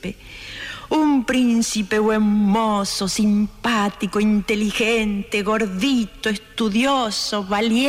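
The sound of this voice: The clip has an unforced reading voice. Its intonation is fairly even.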